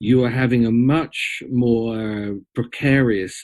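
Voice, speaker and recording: A man with an English accent speaks in a medium pitch with ordinary pitch variation. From Britain. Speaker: storyteller and mythologist. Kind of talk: interview conversation.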